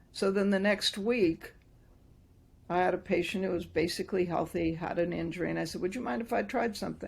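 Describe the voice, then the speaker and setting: The woman's voice carries vocal fry. She moves at a fairly quick pace with ordinary pitch variation. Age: 70s. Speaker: doctor and microcurrent practitioner. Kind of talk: interview. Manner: animated.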